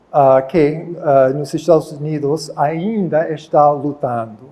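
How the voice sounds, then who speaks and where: A very slow, fairly high-pitched male voice with an English accent and fairly even intonation. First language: English (speaking Portuguese). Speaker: professor. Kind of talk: lecture. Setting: auditorium.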